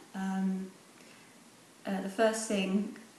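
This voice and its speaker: A woman's medium-pitched voice with an English accent, amid audible room echo and noticeable background noise. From England. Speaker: pageant contestant. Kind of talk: video selfie testimony. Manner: hesitant with fillers.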